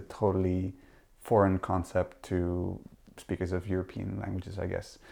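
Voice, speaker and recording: With a Dutch accent, a man speaks in a very deep, low pitch and a dark, mellow tone. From Netherlands. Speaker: literary translator. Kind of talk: interview conversation. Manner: halting.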